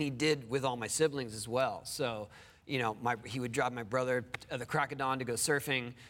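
A man's fairly quick speech. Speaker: interview guest. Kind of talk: interview answer. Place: studio. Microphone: lapel.

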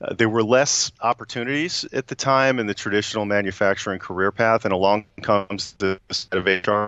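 A man with a fairly low pitch talks with ordinary pitch variation and hardly any pauses, his voice dry with no echo against a quiet background. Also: fairly quick pace. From US Northeast. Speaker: HR executive; guest. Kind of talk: interview. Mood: warm, enthusiastic. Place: office. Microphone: video call.

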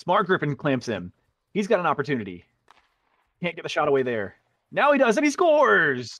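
A man speaks at a fairly quick pace with a fairly high pitch and vocal fry. His pitch swings very widely. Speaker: sports commentator. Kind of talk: live play-by-play commentary.

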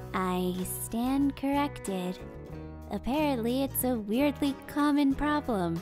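Loud music plays in the background as a woman puts on a character voice, fairly high in pitch and fairly slow in pace. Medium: dub.

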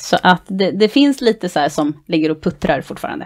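A woman is speaking. The background is quiet. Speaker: dance club board member and dance instructor. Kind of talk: casual interview chat. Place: home room. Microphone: headset.

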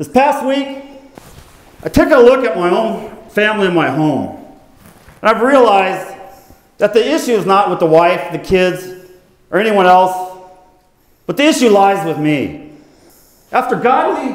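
Audible room echo surrounds a man speaking at a moderate pace. His intonation is lively, broken by long, frequent pauses. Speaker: skit performer as TV show host. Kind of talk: staged skit confession. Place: church. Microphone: lapel.

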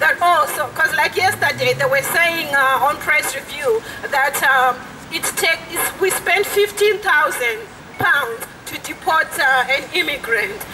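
Raised and projected, the voice carries an angry tone at a fairly slow pace, swinging very widely in pitch over noticeable background noise. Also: woman, extremely high pitch for a woman. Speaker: asylum seeker activist. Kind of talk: rally speech. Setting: outdoor protest. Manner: earnest, angry, indignant, urgent, fluent with hesitations. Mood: indignant, earnest. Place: street. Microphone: handheld.

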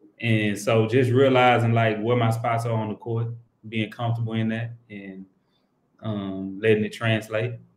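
Speaking at a moderate pace, a man delivers his words in a monotone with flat intonation, and audible room echo surrounds his voice. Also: medium pitch for a man. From Texas, Houston. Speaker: professional basketball player; guest. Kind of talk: interview. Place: home room. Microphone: video call.

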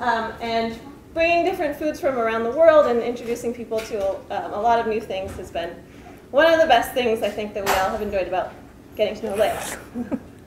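Fairly quick speech with audible room echo and light background noise. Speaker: grad student friend. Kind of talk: humorous introduction. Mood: light, playful. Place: hall. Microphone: camera far.

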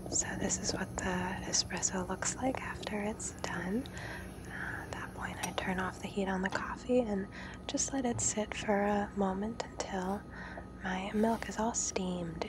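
Whispering from a woman at a fairly slow pace, relaxed in tone, over noticeable background noise. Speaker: home coffee maker showing her routine. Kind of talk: ASMR soft-spoken tutorial. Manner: soft-spoken, relaxed.

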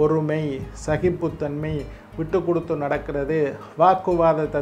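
Faint music sits in the background. A man talks in a fairly high pitch with monotone, flat intonation. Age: 50s. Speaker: astrologer. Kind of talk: horoscope talk. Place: studio.

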